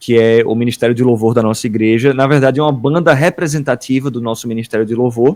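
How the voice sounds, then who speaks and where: Speaking at a very fast pace, a man barely pauses at all. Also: medium pitch for a man, fairly even intonation. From Northeast Brazil, Paraíba. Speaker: worship ministry leader. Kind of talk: podcast interview.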